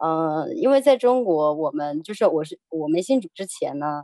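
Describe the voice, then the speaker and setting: Speaking at a fairly slow pace, a woman has a dark, mellow tone and ordinary pitch variation, with a dry, close sound and no echo. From China. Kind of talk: personal testimony interview. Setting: radio studio.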